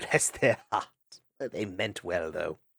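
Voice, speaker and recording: A man puts on a character voice. His pitch is fairly low and his tone warm. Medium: read story. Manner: warm, chuckling.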